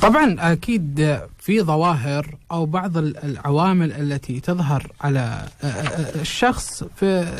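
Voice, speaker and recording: Ordinary pitch variation runs through this man's high-pitched speech. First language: Arabic (speaking Hindi). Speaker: police officer, drug enforcement media and awareness; radio guest or host. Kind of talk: interview. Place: studio. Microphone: studio mic.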